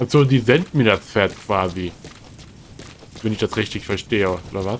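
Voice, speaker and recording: A man with a fairly low pitch and ordinary pitch variation talks at a moderate pace while noticeable background noise carries on. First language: German. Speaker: streamer playing a video game. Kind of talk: casual gameplay commentary. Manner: halting.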